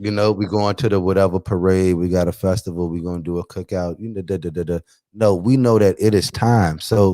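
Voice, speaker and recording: A man with a very deep, low voice and a dark, mellow tone talks fairly quickly, his dry, close sound carrying no echo on a very clean recording with a silent background. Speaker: podcast host. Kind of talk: casual chat. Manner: fast; animated.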